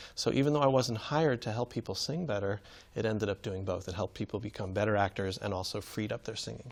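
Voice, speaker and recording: A man with a fairly low pitch talks at a very fast pace. His pitch varies in an ordinary way. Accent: American. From New York City. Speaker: acting teacher. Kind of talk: interview.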